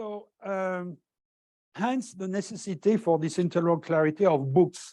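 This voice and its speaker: In a quiet background, a man with a French accent speaks at a moderate pace in a high yet dark, mellow voice, with ordinary pitch variation and big swings in loudness. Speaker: professor. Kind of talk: lecture. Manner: halting, many fillers.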